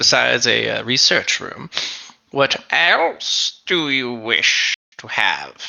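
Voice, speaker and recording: A man talks in a put-on character voice. His pace is very slow. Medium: actual play.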